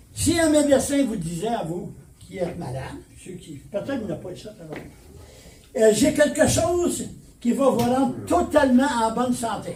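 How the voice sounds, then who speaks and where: There's audible room echo and noticeable background noise as a man with an extremely high pitch speaks at a moderate pace, his pitch swinging very widely and his loudness shifting a lot, with long, frequent pauses. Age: 80s+. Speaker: pastor. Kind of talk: sermon. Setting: church.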